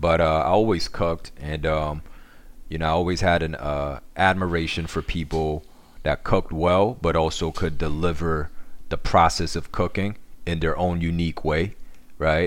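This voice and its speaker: A man talks at a moderate pace with fairly even intonation. His pitch is very deep and low. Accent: New York. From Korea, raised in New York. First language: Korean. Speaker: social media cooking creator. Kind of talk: casual interview. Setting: remote call.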